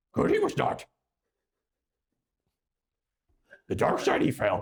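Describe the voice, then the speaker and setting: A man's put-on character voice, raspy and extremely high-pitched, at a fairly slow pace. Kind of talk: inverted word order.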